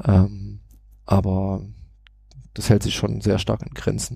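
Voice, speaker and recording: A man talks at a fairly slow pace with a slight Saxon accent. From Saxony, Germany. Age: 30s. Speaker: IT consultant and parenting blogger. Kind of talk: casual podcast interview. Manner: hesitant, many filler sounds.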